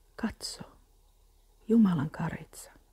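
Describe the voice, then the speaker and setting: Soft-spoken and gentle in tone, the voice moves at a very slow pace. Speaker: Bible reader. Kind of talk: Bible reading aloud as calming ASMR, close to guided meditation. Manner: soft, gentle and slow, calming and unhurried; even, soothing, steady pacing with reverent tone.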